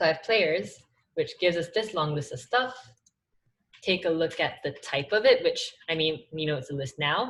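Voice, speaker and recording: Here a woman's fairly low voice swings very widely in pitch. She keeps a moderate pace. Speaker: study group teacher. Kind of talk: tutorial. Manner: casual with many fillers.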